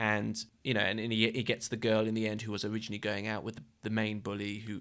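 Monotone, flat delivery at a very fast pace with vocal fry, on a very clean recording with a silent background. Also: man. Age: 20s. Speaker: podcast co-host. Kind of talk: casual chat.

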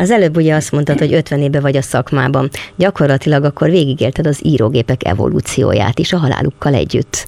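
A woman's very deep, low voice at a very fast pace with hardly any pauses and very even loudness, dry and close with no echo, over noticeable background noise. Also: ordinary pitch variation. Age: 60s. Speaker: podcast interviewer. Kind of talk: interview. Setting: small workshop.

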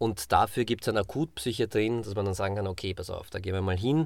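On a very clean recording with a silent background, a man with a plain, everyday voice speaks at a fairly quick pace and a fairly low pitch. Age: 40s. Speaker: podcast co-host. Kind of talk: casual chat.

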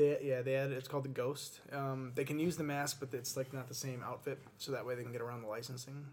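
Talking very fast with hardly any pauses, a man keeps a medium pitch. His voice is somewhat breathy, and his intonation is monotone and flat. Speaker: aspiring actor and writer. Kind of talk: casual chat.

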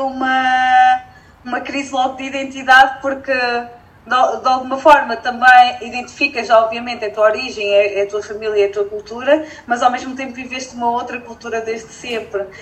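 Over noticeable background noise, a woman speaks at a moderate pace in a high, monotone, flat voice whose loudness swings widely. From northern Portugal (Felgueiras). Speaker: entrepreneur and environmental engineer. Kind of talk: casual interview chat.

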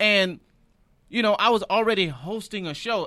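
The voice is raised and projected, with a bright, sharp tone, on a very clean recording with a silent background. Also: man. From Michigan, Detroit. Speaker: comedian. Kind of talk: casual chat.

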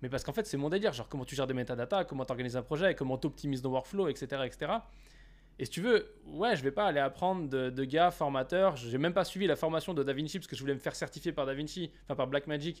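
This man talks at a very fast pace with a fairly high pitch. His pitch varies an ordinary amount, and the recording is very clean with a silent background. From France, Saint-Etienne. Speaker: podcast host, filmmaker. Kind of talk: casual interview chat.

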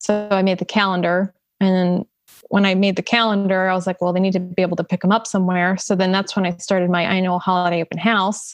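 Delivered very fast with a South Jersey accent, the speech is monotone and flat, with a dry, close sound with no echo over a quiet background. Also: woman, medium pitch for a woman, very even loudness. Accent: South Jersey American. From US, southern New Jersey (Salem County). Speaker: painter. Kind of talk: casual chat.

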